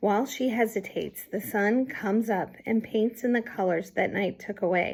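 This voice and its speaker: Putting on a character voice, a woman speaks at a moderate pace in a raspy, fairly high voice with fairly even intonation. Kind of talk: read-aloud storytelling. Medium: read story. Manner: gentle, measured, atmospheric.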